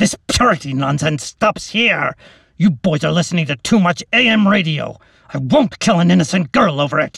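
Using a put-on character voice, a man speaks high in pitch at a moderate pace. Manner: roaring, angry, nearly monstrous.

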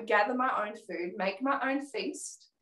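A woman speaks with an Australian accent. Her pace is moderate and her pitch variation ordinary. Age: 30s. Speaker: comedy teacher. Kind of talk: casual chat. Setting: video call.

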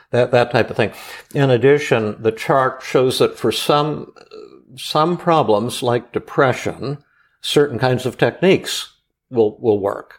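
A man with a normal speaking voice talks at medium pitch and a fairly slow pace, with ordinary pitch variation, on a very clean recording with a silent background. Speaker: psychiatrist. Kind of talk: casual chat. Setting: studio.

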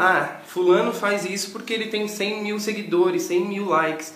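Moderately paced, high-pitched speech from a man, along with noticeable background noise and audible room echo. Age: 20s. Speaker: social media manager. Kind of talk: casual chat.

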